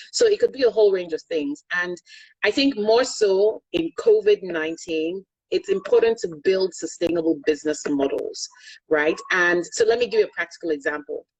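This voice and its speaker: A woman speaks at a moderate pace with a Yoruba accent. Her sound is dry and close, with no echo. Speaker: energy consultant and finance executive. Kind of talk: interview.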